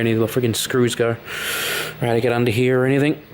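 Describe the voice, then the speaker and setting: A soft-spoken man talks at a medium pitch in a monotone, flat intonation. Background noise is noticeable. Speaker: hobbyist repair vlogger. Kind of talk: casual tutorial-style vlog. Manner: casual, hesitant with fillers.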